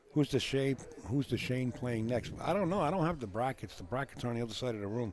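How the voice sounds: Speaking fast with lively intonation, a man uses a medium-pitched voice that has a slightly mellow tone.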